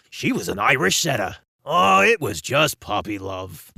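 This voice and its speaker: A man speaks in a put-on character voice at a medium pitch. His pace is moderate. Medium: read story. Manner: playful, laughing, enthusiastic.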